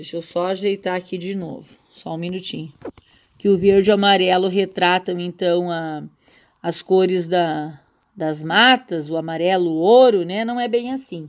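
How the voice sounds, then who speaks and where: On a very clean recording with a silent background, a woman speaks at medium pitch and a fairly slow pace with fairly even intonation. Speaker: school teacher. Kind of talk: recorded slide lecture. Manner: halting, many fillers and repetitions.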